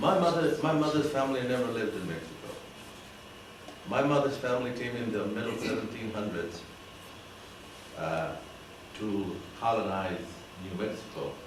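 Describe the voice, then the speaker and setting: Speaking with an American accent, a man at medium pitch uses lively intonation at a moderate pace, broken by long, frequent pauses. Audible room echo and noticeable background noise fill the recording. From Arizona (Jerome area). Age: 80s+. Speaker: retired teacher. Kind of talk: talk to a club audience. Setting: meeting room with audience. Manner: halting. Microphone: speaking without microphone.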